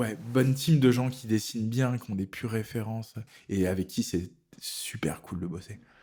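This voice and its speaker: A man's somewhat breathy, dark, mellow voice at medium pitch, moderate in pace, with ordinary pitch variation and big swings in loudness. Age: 40s. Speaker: tattoo artist. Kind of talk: casual interview.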